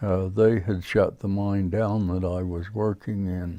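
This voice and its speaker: A man with an American accent speaks in a fairly low voice with a dark, mellow tone. His intonation is monotone and flat. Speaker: retired miner. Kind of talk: oral history interview. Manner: halting, many fillers.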